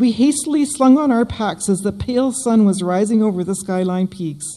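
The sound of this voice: At a moderate pace, a woman with medium pitch speaks in a dark, mellow tone with ordinary pitch variation.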